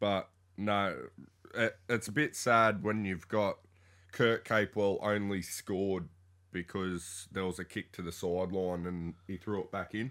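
A man with an Australian accent, fairly low in pitch, fairly slow and even in intonation, on a very clean recording with a silent background. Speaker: sports podcast co-host. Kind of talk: casual chat.

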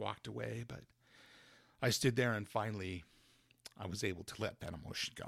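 With an American accent and vocal fry, a fairly low-pitched man talks at a fairly quick pace with ordinary pitch variation, but leaves long, frequent pauses. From US West, Carbon County, Utah. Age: 50s. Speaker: church member sharing faith story. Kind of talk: testimony. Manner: halting, with many fillers.

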